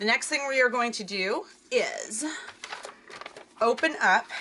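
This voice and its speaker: A loud woman with an American accent talks over noticeable background noise. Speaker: crafting video creator. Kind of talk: tutorial. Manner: chatty.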